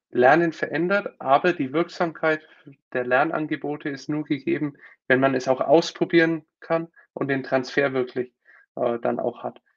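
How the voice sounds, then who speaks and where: Using an ordinary speaking voice, a man talks at a fairly high pitch and a moderate pace. His intonation is fairly even. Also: quiet background. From Germany, Nuremberg (Franconia). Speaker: company founder and consultant. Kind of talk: interview on a live stream.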